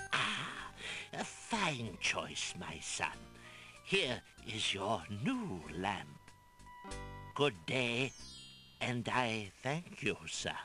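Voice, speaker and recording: Over clear music in the background, a man in a put-on character voice speaks at a very slow pace and medium pitch, with very wide pitch swings and long, frequent pauses. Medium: video game. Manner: oily, ingratiating.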